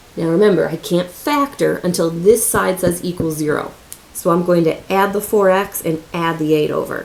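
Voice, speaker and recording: A woman with a fairly low pitch and ordinary pitch variation is heard through noticeable background noise. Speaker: math teacher. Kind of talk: tutorial. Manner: fast; casual.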